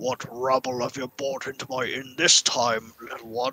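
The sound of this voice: A gruff, put-on character voice from a man, medium in pitch, at a moderate pace with monotone, flat intonation.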